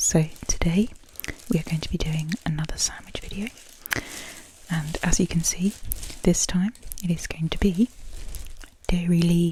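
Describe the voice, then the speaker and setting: A woman speaks at a fairly low pitch and a moderate pace. Her intonation stays fairly even. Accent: British. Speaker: ASMR creator. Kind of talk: ASMR soft-spoken food video. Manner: rambling, hesitant with many fillers.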